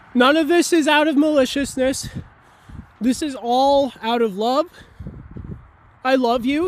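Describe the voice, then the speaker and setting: A loud voice at a moderate pace. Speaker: video blogger. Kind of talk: educational monologue. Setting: outdoors near a road.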